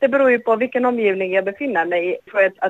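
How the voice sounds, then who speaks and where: The recording sounds dry and close, with no echo. A woman speaks, her pitch varying in an ordinary way. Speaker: novelist. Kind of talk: interview. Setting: phone call. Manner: halting. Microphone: poor phone line.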